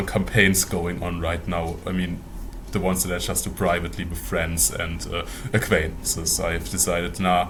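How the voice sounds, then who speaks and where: A man with a German accent at a moderate pace, with audible room echo and music in the background. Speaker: mortician and tabletop game master, video creator. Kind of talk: casual interview. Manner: hesitant, many fillers.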